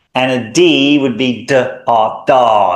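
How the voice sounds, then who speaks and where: Audible room echo surrounds a man of medium pitch who talks very slowly with ordinary pitch variation. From Australia. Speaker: language teacher. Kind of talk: tutorial. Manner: clear, deliberate enunciation.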